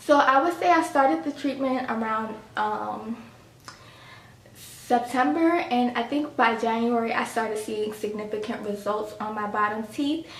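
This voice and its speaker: Over noticeable background noise and audible room echo, a woman with a fairly high pitch speaks at a fairly slow pace with ordinary pitch variation. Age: 30s. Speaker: lifestyle vlogger. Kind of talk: casual vlog talk.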